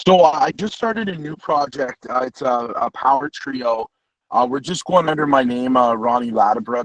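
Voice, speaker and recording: A man talks in an unremarkable speaking voice at medium pitch and a moderate pace, with lively intonation. The sound is dry and close, with no echo. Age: 30s. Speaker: guitarist and singer-songwriter. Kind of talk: casual interview. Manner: casual, many fillers.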